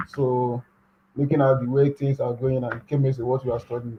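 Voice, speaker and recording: A man talks very fast in a Nigerian accent, his medium-pitched voice flat and monotone. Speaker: graduate student. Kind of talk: interview. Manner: soft-spoken.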